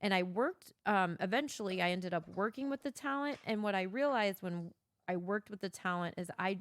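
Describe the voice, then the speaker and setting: With a Missouri accent, a woman talks at a fairly quick pace and a medium pitch. Her pitch varies in an ordinary way, and the sound is dry and close with no echo. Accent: Midwestern US, Missouri. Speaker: podcast co-host, former event producer. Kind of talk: casual chat. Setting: home basement. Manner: clear enunciation, good inflection.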